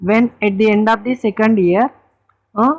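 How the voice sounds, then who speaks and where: The speaker has an Indian accent and a moderate pace. Pitch variation is ordinary. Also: woman. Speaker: accounting teacher. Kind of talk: lecture.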